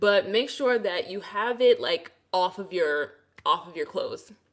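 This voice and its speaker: A woman's fairly high voice with a slight Brooklyn accent. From Brooklyn, New York. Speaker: hair care creator. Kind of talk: livestream hair tutorial. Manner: casual, chatty.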